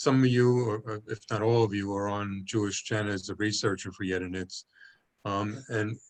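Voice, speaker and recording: A man with an American accent speaks fairly slowly at a fairly low pitch. His intonation stays flat and monotone over a quiet background. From Brooklyn, New York. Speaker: project coordinator. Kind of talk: meeting briefing. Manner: halting.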